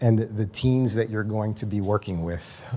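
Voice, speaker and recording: With a slight New York accent, a man talks in fairly even intonation. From New York City, South Bronx. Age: 40s. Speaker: addiction and mental health counselor, conference presenter. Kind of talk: conference presentation. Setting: stage with audience. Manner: casual, many fillers.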